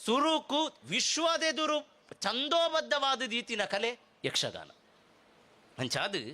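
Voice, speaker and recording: A man's extremely high, bright, sharp voice, raised and projected, with ordinary pitch variation. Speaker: public speaker. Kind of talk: speech at a festival.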